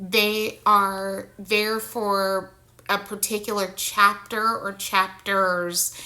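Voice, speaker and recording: A woman with a bright, sharp tone and medium pitch speaks in a monotone, flat intonation at a very slow pace. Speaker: vlogger sharing personal experience. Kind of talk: personal monologue vlog. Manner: slow, halting.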